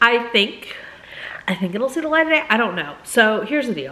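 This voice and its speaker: With noticeable background noise behind her, a woman speaks at a moderate pace in a fairly high voice with very wide pitch swings. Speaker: book vlogger. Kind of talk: casual vlog talk. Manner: hesitant, filler words.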